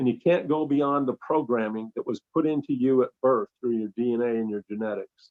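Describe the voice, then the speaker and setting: In a plain, everyday voice, this man talks at a moderate pace with medium pitch and ordinary pitch variation. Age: 60s. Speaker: enzyme formulator and scientist. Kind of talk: informal talk on a conference call. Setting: conference call.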